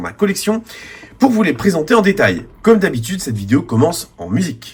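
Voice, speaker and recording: Swinging very widely in pitch, this man talks at a fairly quick pace. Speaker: diecast model reviewer. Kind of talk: video review narration.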